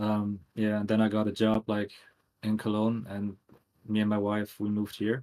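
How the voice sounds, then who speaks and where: A man with a German accent, fairly low in pitch, dark and mellow in tone, at a moderate pace with monotone, flat intonation. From Germany, near Düsseldorf. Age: 30s. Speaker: tattoo artist and graphic designer. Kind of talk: casual podcast interview.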